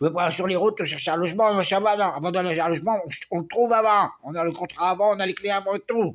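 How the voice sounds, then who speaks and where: A man with a high pitch talks at a very fast pace with hardly any pauses. His intonation stays fairly even. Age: 60s. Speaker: vlogger. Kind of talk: personal video diary.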